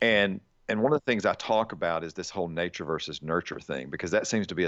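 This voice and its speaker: With a Southern US accent, a man talks at a very fast pace and ordinary pitch variation. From Alabama. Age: 40s. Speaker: army chaplain and nonprofit founder. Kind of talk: casual interview.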